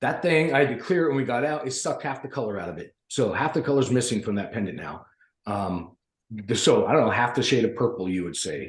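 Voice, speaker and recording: Somewhat breathy and animated, a man at a medium pitch talks at a very fast pace with lively intonation. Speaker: podcast panelist. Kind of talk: casual chat.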